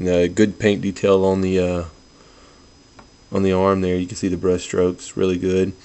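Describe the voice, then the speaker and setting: Soft-spoken, a man talks in a very deep, low pitch with monotone, flat intonation and long, frequent pauses. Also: moderate pace. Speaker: toy collector video reviewer. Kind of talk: product review. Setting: at home, others asleep in house. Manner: subdued, low-key delivery; kept quiet, soft.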